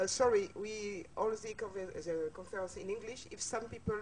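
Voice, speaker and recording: A woman talks at a moderate pace. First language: French. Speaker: association representative. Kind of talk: brief introduction speech. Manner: halting, hesitant.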